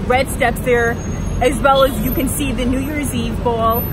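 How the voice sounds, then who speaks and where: A woman with an American accent at a fairly quick pace, with audible room echo and crowd noise in the background. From Long Island, New York. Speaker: travel trip ambassador. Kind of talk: travel vlog. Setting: outdoors in Times Square. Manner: casual, chatty.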